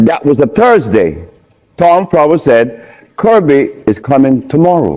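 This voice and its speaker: A man's dark, mellow tone at a moderate pace, very even in loudness, with very wide pitch swings. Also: fairly high pitch for a man. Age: 70s. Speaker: lecturer on diet and health. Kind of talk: lecture.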